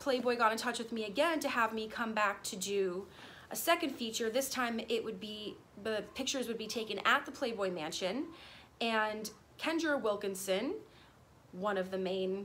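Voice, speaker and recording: A woman talks at a moderate pace with ordinary pitch variation. Light background noise can be heard. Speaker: vlogger. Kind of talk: casual vlog storytime. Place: garden. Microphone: phone near.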